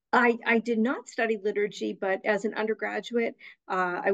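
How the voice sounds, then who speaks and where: The speaker has an American accent and a moderate pace. Intonation is fairly even, and the background is quiet. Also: woman. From Boston North Shore, Massachusetts; Massachusetts. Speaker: executive director of a church musicians' association; guest. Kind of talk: casual interview conversation. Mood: warm, earnest. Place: home room. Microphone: video call.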